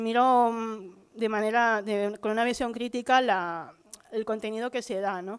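In a fairly high pitch, a woman speaks with flat, monotone intonation. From Barcelona, Catalonia. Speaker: teacher training student. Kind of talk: conference talk. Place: hall. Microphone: podium.

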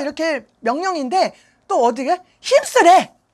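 A woman speaks in an animated, bright, sharp tone at an extremely high pitch, her pitch swinging very widely. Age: 50s. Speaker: pastor. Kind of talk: sermon.

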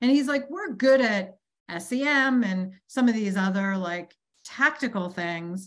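Against a quiet background, a woman with an American accent speaks very slowly at a fairly high pitch with lively intonation. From Boston, US. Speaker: chief marketing officer. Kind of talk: interview. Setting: video call. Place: home room. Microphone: video call.

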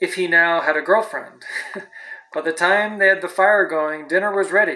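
With ordinary pitch variation, a natural reading voice is heard.

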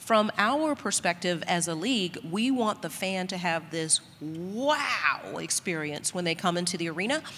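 Set against light background noise, a woman with a fairly low pitch and lively intonation speaks at a moderate pace with hardly any pauses. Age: 60s. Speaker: sports league executive; panelist. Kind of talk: panel discussion. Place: hall.

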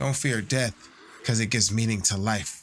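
Background music accompanies this recording. The man's intonation rises and falls in a lively way. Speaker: streamer. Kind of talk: reaction commentary. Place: home room.

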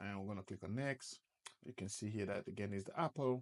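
Using ordinary pitch variation, a man talks at a fairly quick pace. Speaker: presenter. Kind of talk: tutorial.

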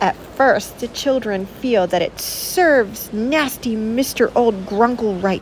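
The pitch shows ordinary variation. The delivery is an unforced reading voice.

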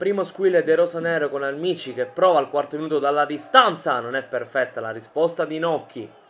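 A man's fairly high voice at a fairly quick pace with hardly any pauses, big swings in loudness and ordinary pitch variation, over noticeable background noise. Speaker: sports commentator. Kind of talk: sports match highlights commentary. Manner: fast, clipped, rattling off match events; neutral, energetic play-by-play delivery.

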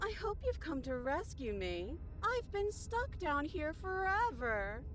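In a female-sounding put-on character voice, high for a woman, someone speaks at a fairly slow pace against clear background noise. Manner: creepy, deceptively pleading.

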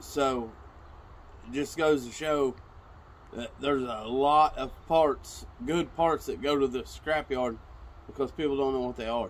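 A man at a fairly slow pace, with ordinary pitch variation and long, frequent pauses. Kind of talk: casual vlog chat. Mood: excited about a find. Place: garden. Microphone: camera far.

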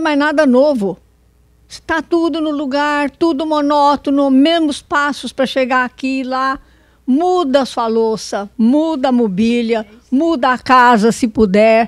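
A woman with a high pitch and lively intonation at a fairly slow pace, in a dry sound with no echo against a quiet background. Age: 90s. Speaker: elderly audience member; audience member. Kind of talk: audience testimony. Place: hall. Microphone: handheld.

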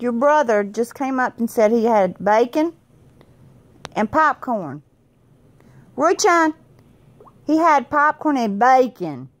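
In a Southern US accent, a woman with a high pitch speaks very slowly with lively intonation and long, frequent pauses. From US South. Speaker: mother vlogger. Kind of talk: casual family chat. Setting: at home, on the bed. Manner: playful, laughing. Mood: playful, teasing. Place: home room. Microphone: phone near.

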